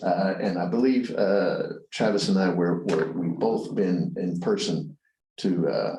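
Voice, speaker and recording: Audible room echo surrounds a man talking at a fairly slow speed. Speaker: business presenter. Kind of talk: online conference presentation; speaker introduction. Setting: online webinar. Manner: hesitant, many fillers.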